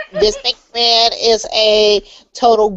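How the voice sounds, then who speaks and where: A put-on character voice, nasal in quality. The pitch sits fairly high. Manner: gushing fan.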